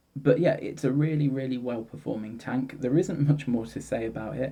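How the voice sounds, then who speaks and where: A man's dark, mellow tone with vocal fry and a British accent. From UK. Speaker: product reviewer. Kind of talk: product review. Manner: hesitant, with fillers. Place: home room. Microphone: phone near.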